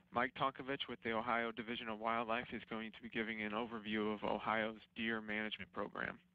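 A man talks at a fairly quick pace. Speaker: webinar moderator. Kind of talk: webinar introduction. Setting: online webinar.

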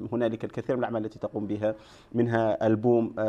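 A man's medium-pitched voice, dark and mellow, at a very fast pace with flat, monotone intonation. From Mauritania. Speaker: festival media officer; guest. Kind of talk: TV interview. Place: studio.

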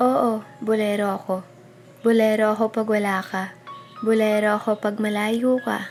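A woman talks at a fairly slow pace, her intonation monotone and flat. Music plays in the background. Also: fairly high pitch for a woman. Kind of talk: spoken word poetry reading.

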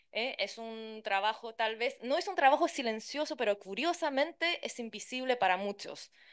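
A woman with a Chilean accent speaks at a high pitch with lively intonation. Her pace is moderate, with hardly any pauses, against a quiet background. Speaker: interpreter and translator; conference panelist. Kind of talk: conference talk. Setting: conference with interpreters' booth. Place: hall. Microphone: podium.

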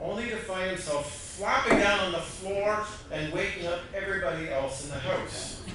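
Over noticeable background noise and strong room echo, a man talks at a fairly slow pace with ordinary pitch variation. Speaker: pastor. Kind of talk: sermon. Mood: warm storytelling. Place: church.

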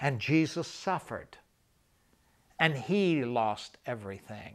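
A man speaks with lively intonation. His pace is very slow. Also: quiet background. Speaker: evangelist recounting travels. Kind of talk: interview answer, storytelling. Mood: warm, smiling, emotional. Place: studio.

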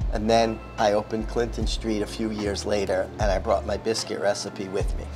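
A man talks at a moderate pace. Clear music sounds behind him. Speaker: chef instructor. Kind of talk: tutorial. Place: kitchen. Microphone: lapel.

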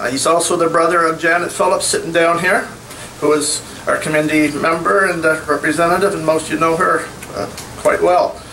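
A man speaks in a high voice at a fairly quick pace with fairly even intonation. Light noise sits in the background. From New Brunswick, Canada. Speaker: community committee representative; speaker. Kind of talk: public speech. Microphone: podium.

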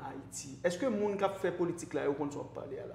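A man in a Haitian accent at a very fast pace, with light background noise and audible room echo. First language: Haitian Creole (speaking French). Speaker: online show host; talk show guest or host. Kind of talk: interview. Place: studio. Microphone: lapel.

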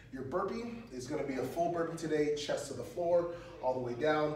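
A man at a fairly slow pace with very wide pitch swings, audible room echo and music in the background. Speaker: fitness coach. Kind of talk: tutorial. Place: gym. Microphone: camera far.

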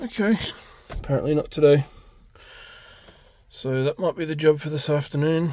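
At a moderate pace, a man speaks with a fairly high pitch, a dark, mellow tone and ordinary pitch variation.

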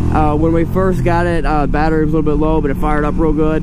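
The background noise is loud. The sound itself is dry with no echo. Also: man. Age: 30s. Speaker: motorcycle dealer and reviewer. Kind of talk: casual vlog, test ride review. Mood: playful, enthusiastic. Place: motorbike. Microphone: helmet.

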